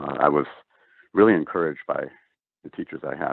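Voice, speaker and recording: Speaking with an Upper Midwest accent, a man keeps a moderate pace. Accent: Upper Midwest American. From US Midwest, rural North Dakota. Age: 60s. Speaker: NASA engineer. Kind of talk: interview. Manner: halting, many fillers.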